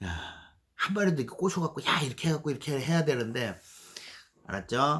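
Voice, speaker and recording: A man with a fairly high pitch and vocal fry talks at a fairly quick pace with lively intonation. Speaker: YouTube channel host, software developer. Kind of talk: casual monologue answering viewer mail. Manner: fast talking.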